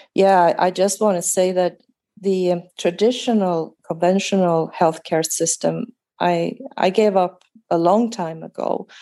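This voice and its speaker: A woman with a Swedish accent, a dark, mellow tone and fairly even intonation at a fairly slow pace. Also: medium pitch for a woman. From Sweden. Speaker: guest with chronic fatigue. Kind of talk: casual interview.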